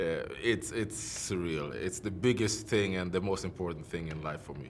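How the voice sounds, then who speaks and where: In a Swedish accent, a man speaks at a moderate pace with a very deep, low pitch and ordinary pitch variation, with audible room echo. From Sweden. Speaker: professional MMA fighter. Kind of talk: interview. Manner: halting.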